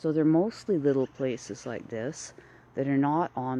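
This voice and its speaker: With a Canadian accent, a woman talks at a fairly slow pace in a very deep, low voice, her pitch varying in an ordinary way. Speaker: artist. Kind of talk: casual vlog, live video. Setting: outdoors, walking in town street.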